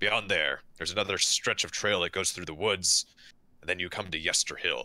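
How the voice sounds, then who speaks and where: Very clean and silent in the background, the recording carries a man's raspy, put-on character voice, very deep and low, at a moderate pace with fairly even intonation. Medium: actual play. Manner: hesitant, halting.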